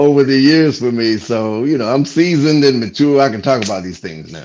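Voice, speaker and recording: Speaking at a fairly quick pace, a man with a medium pitch uses lively intonation and big swings in loudness. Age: 60s. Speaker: comedian. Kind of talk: casual chat. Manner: animated.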